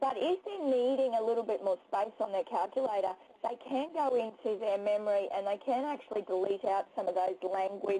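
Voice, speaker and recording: An Australian accent at a fairly quick pace, dark and mellow in tone, with ordinary pitch variation, very even loudness and hardly any pauses. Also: woman, fairly high pitch for a woman. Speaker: teacher. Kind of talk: webinar presentation. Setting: webinar, screen sharing.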